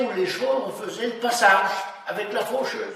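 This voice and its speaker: Over noticeable background noise and audible room echo, a man speaks in a high pitch. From France, rural Saint-Martin. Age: 80s+. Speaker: elderly villager recounting memories. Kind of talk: oral history interview. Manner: halting, hesitant.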